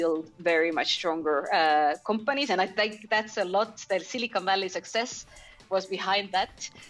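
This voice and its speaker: Music plays in the background as a woman speaks. Her pace is moderate and her pitch variation ordinary. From Estonia. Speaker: startup founder and CEO. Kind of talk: podcast interview. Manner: halting, many fillers.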